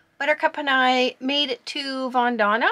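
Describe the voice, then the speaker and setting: This woman speaks in a raised, projected voice at a fairly slow pace. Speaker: solo sailor vlogger. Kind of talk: casual vlog chat. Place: boat. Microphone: phone near.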